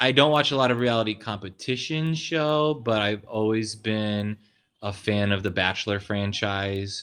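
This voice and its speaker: Over a quiet background, a man speaks with fairly low pitch at a fairly slow pace and ordinary pitch variation. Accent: American. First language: American Sign Language. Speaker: pastor. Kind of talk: casual interview.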